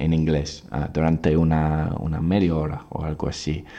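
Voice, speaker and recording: A man's very deep, low voice with an English accent, at a fairly slow pace. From England, Oxford. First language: English (speaking Spanish). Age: 20s. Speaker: English teacher. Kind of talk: podcast monologue. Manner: halting, many fillers and repeats.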